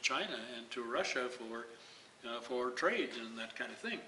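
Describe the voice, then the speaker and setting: With audible room echo and noticeable background noise, a man talks at a moderate pace and medium pitch. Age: old. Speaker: retired priest and activist. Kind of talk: interview. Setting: community event.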